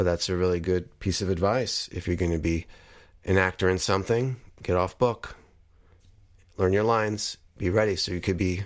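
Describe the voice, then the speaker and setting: In a very clean recording with a silent background, a man with a very deep, low pitch keeps a fairly even intonation and leaves long, frequent pauses. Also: moderate pace. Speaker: podcast host, filmmaker. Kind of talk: podcast commentary.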